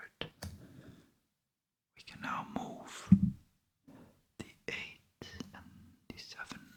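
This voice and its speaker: Someone is whispering at a very slow pace. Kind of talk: ASMR card-game narration, solitaire play-by-play. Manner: whispered, soft.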